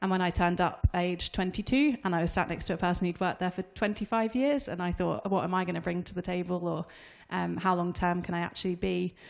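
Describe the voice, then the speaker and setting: Against a quiet background, a woman with a normal speaking voice and a fairly low pitch talks at a fairly quick pace with ordinary pitch variation. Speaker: investment analyst. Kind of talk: panel discussion. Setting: live event with audience. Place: hall. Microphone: handheld.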